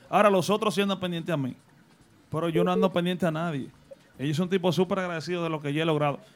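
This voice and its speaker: A man speaks at a very fast pace with a high pitch. His intonation stays fairly even. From Dominican Republic, Salcedo. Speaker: radio DJ. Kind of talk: casual chat. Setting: studio.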